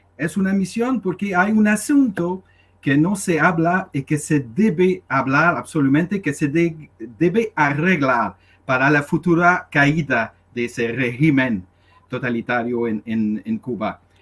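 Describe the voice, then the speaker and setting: With a non-native accent, a man speaks at a fairly slow pace in a fairly high pitch, making very wide pitch swings, on a very clean recording with a silent background. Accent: foreign accent in Spanish. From Canada. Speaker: activist. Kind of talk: question to a speaker at a public meeting. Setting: in-person meeting. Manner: halting, many hesitations.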